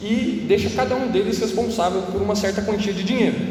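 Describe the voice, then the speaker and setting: Noticeable background noise and audible room echo accompany a man speaking at a high pitch. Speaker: youth preacher. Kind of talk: sermon. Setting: room with echo, live audience. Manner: fast.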